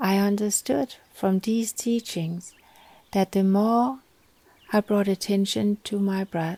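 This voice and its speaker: At a very slow pace, a woman speaks in a medium pitch with a gentle, dark, mellow tone and fairly even intonation, recorded dry and close with no echo. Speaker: wellness expert, yoga teacher. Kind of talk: guided meditation.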